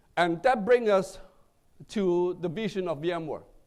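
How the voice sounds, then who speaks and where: A man with a non-native accent speaks with ordinary pitch variation. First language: not English. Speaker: tech executive. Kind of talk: keynote speech. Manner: halting, with fillers.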